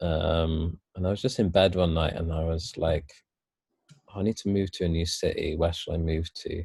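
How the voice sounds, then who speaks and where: The voice has a Welsh accent and a dark, mellow tone that is somewhat breathy. The recording is very clean, with a silent background. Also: man. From Wales. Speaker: yoga and meditation teacher. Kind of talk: casual interview chat.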